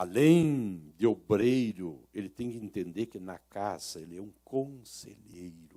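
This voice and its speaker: A man speaks at a very slow pace with a fairly low pitch and a dark, mellow tone. His intonation is lively, with big swings in loudness. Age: 60s. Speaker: pastor. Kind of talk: sermon.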